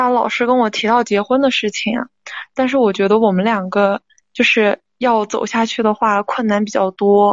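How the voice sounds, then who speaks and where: Pitched fairly high, a woman speaks at a moderate pace with monotone, flat intonation and very even loudness. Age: 20s. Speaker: caller seeking relationship advice. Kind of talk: advice call-in. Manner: halting.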